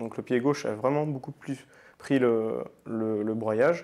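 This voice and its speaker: A man talks at a fairly slow pace with fairly even intonation. The recording is very clean, with a silent background. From France, Nantes. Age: 20s. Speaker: paralympic athlete. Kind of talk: podcast interview. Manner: hesitant, many fillers.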